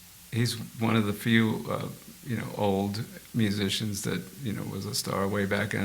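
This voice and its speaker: A man talking in a fairly low pitch at a moderate pace is heard with audible room echo. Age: 70s. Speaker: session guitarist. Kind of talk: casual interview chat. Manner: animated.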